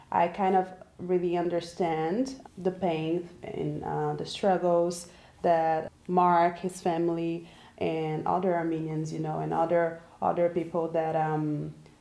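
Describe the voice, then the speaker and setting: A woman with a Portuguese accent speaks at a fairly low pitch and fairly slow pace in a dark, mellow tone, her intonation monotone and flat. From Brazil. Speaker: graduate student. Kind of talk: interview.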